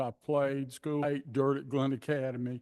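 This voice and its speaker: A man's fairly high-pitched voice with a coastal Georgia accent, over a quiet background. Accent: Southern US (coastal Georgia). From US South. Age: 70s. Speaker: public commenter. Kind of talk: public comment at meeting. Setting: city commission meeting room.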